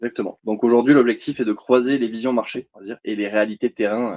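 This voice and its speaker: A man talks at a fairly quick pace in a medium pitch. The sound is dry and close, with no echo. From southern France, Montpellier. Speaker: energy company sales representative. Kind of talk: webinar presentation. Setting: online webinar. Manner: hesitant, many fillers.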